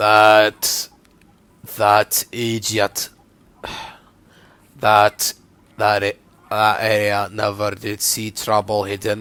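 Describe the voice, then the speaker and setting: A man's put-on character voice, raspy and fairly low, in a monotone, flat intonation at a very slow pace with long, frequent pauses. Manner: trying to hold the accent.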